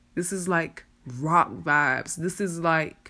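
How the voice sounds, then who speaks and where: Her fairly low pitch comes across on a very clean recording with a silent background. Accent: South Carolina. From South Carolina (Ridgeway). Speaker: podcast host, music promoter. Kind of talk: casual solo talk.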